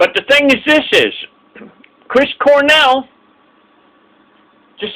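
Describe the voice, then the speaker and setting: The voice is raised and projected. Its pitch varies in an ordinary way. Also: man. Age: 60s. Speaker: vlogger. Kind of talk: casual monologue. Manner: halting; impassioned.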